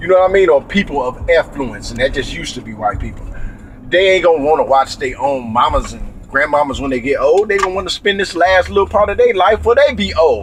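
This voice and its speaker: A man speaks very fast amid noticeable background noise. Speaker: vlogger. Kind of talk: casual rant. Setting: in a car.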